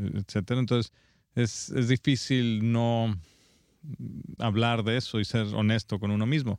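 A man with a medium pitch speaks fairly slowly, taking long, frequent pauses, his intonation fairly even and his loudness very even, in a dry, close sound with no echo on a very clean recording with a silent background. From Mexico (Guanajuato). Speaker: film director. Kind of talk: interview. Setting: film festival. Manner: halting.

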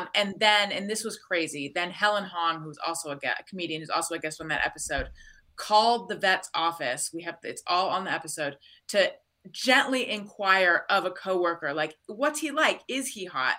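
A woman with an American accent, bright and sharp in tone, medium in pitch, lively in intonation and fairly quick in pace. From Southern California, Orange County. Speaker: podcaster. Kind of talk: casual chat.

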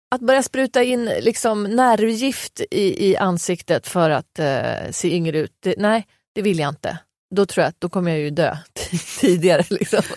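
Recorded dry and close with no echo, a woman talks at a medium pitch and a moderate pace. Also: lively intonation. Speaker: podcast co-host. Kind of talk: casual chat. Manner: animated.

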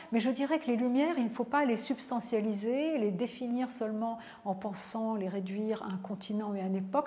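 This woman has an ordinary speaking voice. Her pitch is fairly high and her pace moderate. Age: 50s. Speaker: philosopher and professor. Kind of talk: interview.

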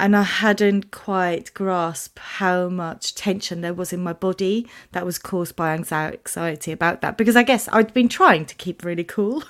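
In a very clean recording with a silent background, a woman with a British accent speaks at a medium pitch and moderate pace. She barely pauses, her pitch varies in an ordinary way, and her loudness swings widely. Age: 30s. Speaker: podcast host and founder of a support group for young tongue cancer patients. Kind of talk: casual chat.

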